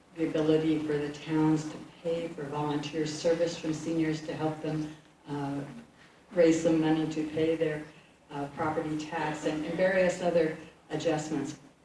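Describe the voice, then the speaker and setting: A woman speaks in a very deep, low voice at a moderate pace with flat, monotone intonation, over noticeable background noise and audible room echo. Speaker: state legislator. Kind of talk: public town meeting remarks.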